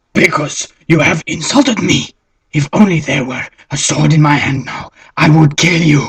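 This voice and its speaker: This cartoonish character voice sits at a middle pitch. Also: moderate pace. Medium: puppet.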